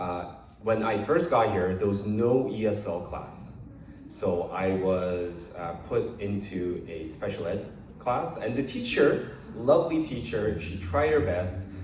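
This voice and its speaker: In a Korean accent, a man speaks very slowly with a fairly low pitch and lively intonation, amid audible room echo and noticeable background noise. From South Korea, moved to Canada as a child in grade five. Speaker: politician. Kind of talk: public speech at event. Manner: many filler hesitations.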